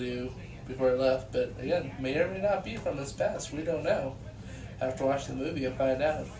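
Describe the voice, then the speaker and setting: A man's voice with audible room echo. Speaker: vlogger reviewing movies. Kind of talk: casual video review monologue. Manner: halting, many fillers and repeats.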